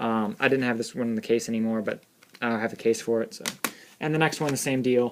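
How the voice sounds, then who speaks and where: The man's pitch is medium. He talks at a very fast pace. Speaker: gaming YouTuber. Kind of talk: casual video review. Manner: hesitant, many fillers.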